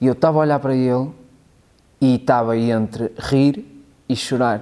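Fairly even in intonation, a man's medium-pitched voice carries a European Portuguese accent. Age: 30s. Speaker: multimedia worker and stand-up comedian. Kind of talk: casual interview chat.

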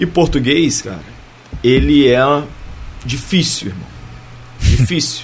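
Over noticeable background noise and audible room echo, a man with a medium-pitched voice speaks at a very slow pace. His intonation is lively, broken by long, frequent pauses. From Barra do Piraí, Rio de Janeiro state, Brazil. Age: 40s. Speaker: former professional footballer. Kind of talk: casual interview.

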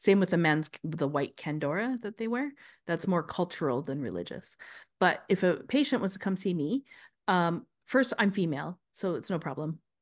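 Against a quiet background, a woman with a Canadian accent has a plain, everyday voice, fairly low in pitch and lively in intonation. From Canada. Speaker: podcast co-host, healthcare practitioner. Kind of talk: casual chat.

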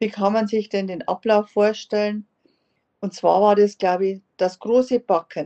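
A woman speaks at a medium pitch. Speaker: podcast host. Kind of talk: interview.

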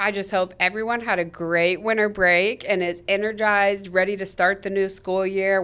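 With a Midwestern US accent, a woman talks at a moderate pace in a medium pitch. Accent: US Midwest. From Kansas (Topeka). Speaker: school district communications podcast co-host. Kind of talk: casual chat.

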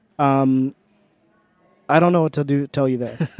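A man's fairly high voice at a fairly quick pace, with fairly even intonation and a dry, close sound with no echo. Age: 20s. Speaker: YouTube content creator. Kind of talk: casual chat.

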